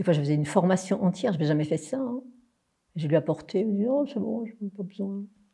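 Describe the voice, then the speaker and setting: Her voice is somewhat breathy, with a dark, mellow tone. This woman talks at a very fast pace with lively intonation. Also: medium pitch for a woman. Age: 60s. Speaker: spiritual teacher. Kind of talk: interview.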